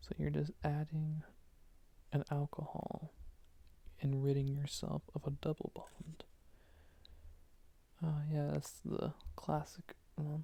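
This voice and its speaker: Whispering and soft-spoken, the voice moves at a very slow pace with a soothing tone. Long pauses come often. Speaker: student studying for an organic chemistry final. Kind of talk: ASMR soft-spoken study session, talking through chemistry flashcards. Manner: soft-spoken, soothing, whispery.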